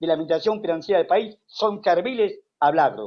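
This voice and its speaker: Pitched high, a man speaks with lively intonation. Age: 70s. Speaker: economist. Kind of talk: interview. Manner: animated.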